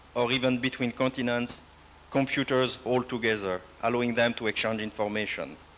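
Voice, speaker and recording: This man speaks fairly quickly at a medium pitch, with very even loudness. His delivery is monotone, with flat intonation. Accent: non-native. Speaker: computer network project director. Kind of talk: lecture. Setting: university presentation with audience. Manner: formal, some hesitation.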